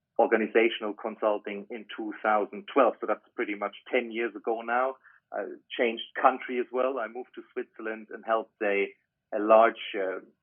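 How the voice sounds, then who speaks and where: With a German accent, a man speaks at a medium pitch and with fairly even intonation. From Germany. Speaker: business consultant. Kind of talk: interview.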